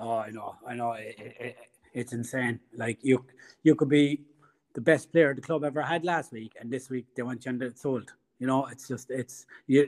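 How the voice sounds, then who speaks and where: In a Cork accent, a man talks with fairly even intonation. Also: medium pitch for a man, moderate pace. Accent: Irish (Cork). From Ireland. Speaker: football fan. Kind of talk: casual interview. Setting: remote call.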